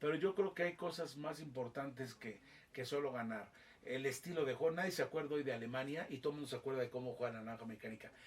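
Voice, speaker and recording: Very fast speech from a man, pitched fairly high. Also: ordinary pitch variation. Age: 60s. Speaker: football commentator. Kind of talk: interview. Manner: animated.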